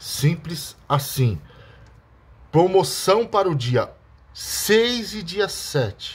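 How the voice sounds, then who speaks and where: A man's voice is somewhat breathy. His pitch swings very widely. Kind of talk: street-seller-style sales pitch. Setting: video to camera, showing the bottle. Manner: pushy, hard-sell urgency with stock and deadline pressure.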